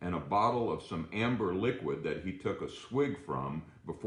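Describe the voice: The plain reading aloud carries lively intonation.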